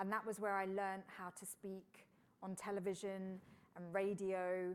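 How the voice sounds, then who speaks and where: A woman speaks in a monotone with flat intonation and a British accent. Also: medium pitch for a woman, moderate pace. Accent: British, mistaken for Florida. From UK. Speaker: engineer and science broadcaster. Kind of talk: interview conversation. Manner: casual, with frequent fillers.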